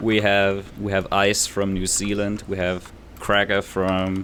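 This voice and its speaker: With a Danish accent, a man speaks at a fairly slow pace and a fairly low pitch. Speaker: podcast host and YouTube creator. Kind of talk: casual chat.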